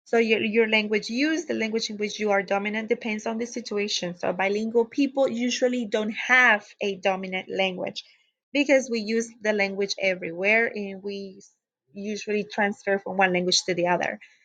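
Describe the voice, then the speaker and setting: A woman with a Spanish accent speaks at a moderate pace and fairly high pitch, her intonation fairly even against a quiet background. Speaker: teacher educator. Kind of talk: lecture. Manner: hesitant with frequent fillers.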